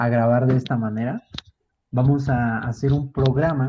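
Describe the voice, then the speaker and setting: A man's medium-pitched, fairly even delivery at a fairly slow pace, in an ordinary speaking voice. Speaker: podcast co-host. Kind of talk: casual chat.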